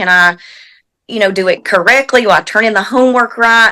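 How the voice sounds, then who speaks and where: In a very clean recording with a silent background, a woman with a Southern US accent speaks in a fairly high voice with a bright, sharp tone. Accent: Southern US (Georgia). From US South, Georgia. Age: 40s. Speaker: equine massage therapist. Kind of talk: interview. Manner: halting.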